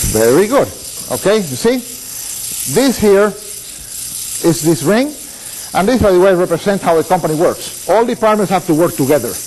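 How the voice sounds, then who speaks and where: With noticeable background noise behind him, a man speaks at a moderate pace in a high pitch with lively intonation, very even loudness and long, frequent pauses. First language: Spanish. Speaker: motivational speaker. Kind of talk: keynote speech demo reel. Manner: animated.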